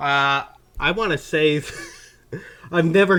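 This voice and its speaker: Here is a man with a slight Southern US accent. His tone is bright and sharp, with ordinary pitch variation. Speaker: gaming commentator. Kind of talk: casual chat. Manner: animated.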